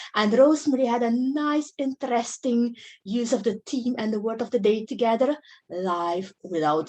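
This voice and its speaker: A woman with a non-native accent speaks at a fairly slow pace, her fairly high pitch, dark, mellow tone and lively intonation set against a quiet background. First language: not English. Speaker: club member acting as grammarian. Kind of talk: meeting report.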